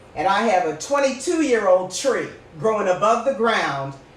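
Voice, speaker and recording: Amid audible room echo and noticeable background noise, a woman talks at a fairly slow pace with very wide pitch swings. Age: 60s. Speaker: podcast host. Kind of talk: casual chat. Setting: live stream. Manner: animated.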